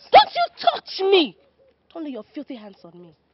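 A woman's put-on character voice, shouting in an angry tone, raised and projected, at an extremely high pitch with very wide pitch swings. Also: moderate pace. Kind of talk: dramatic film dialogue. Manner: angry, shouting. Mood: angry, disgusted.

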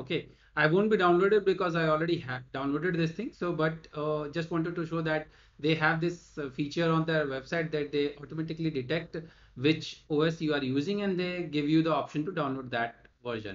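This man talks at a fairly quick pace with few pauses. His pitch sits fairly high, with ordinary variation.

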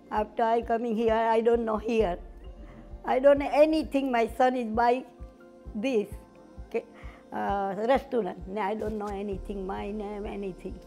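Faint music plays in the background as a woman speaks fairly slowly. Her voice is fairly high, with ordinary pitch variation. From Gujarat, India; raised in Uganda. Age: 80s+. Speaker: head chef, restaurant owner. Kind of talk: interview answer. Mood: warm, cheerful, animated. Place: cafe. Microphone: lapel.

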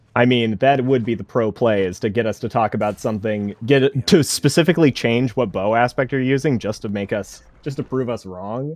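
The sound is dry and close, with no echo. A man at a medium pitch talks at a fairly quick pace with hardly any pauses. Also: ordinary pitch variation. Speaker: speedrun commentator. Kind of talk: live commentary. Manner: halting.

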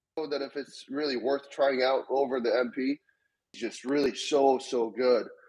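A man talks with fairly even intonation at a fairly slow pace. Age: 20s. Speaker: home coffee enthusiast; guest. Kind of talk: casual chat. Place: kitchen. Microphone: video call.

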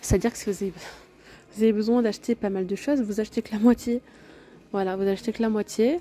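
A woman's dark, mellow tone at a fairly quick pace, fairly even intonation and a dry sound with no echo. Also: fairly high pitch for a woman. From France. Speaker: video blogger touring a store. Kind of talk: street-market pitchman patter, rattling off products and prices to camera; casual vlog chat. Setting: in a shop, filming on location. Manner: repetitive hype, with 'regardez' and 'hein' hooks. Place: shop. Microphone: phone near.

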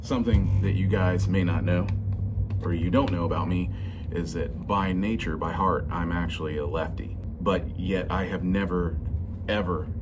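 A man at a moderate pace with a very deep, low pitch, music in the background. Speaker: bass reviewer. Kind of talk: casual vlog chat. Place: shop. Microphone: phone near.

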